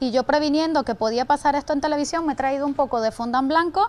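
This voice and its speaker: A woman's high voice at a fairly quick pace, with ordinary pitch variation. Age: young. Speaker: pastry chef; guest. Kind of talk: cooking demonstration. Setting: TV studio. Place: studio. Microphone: lapel.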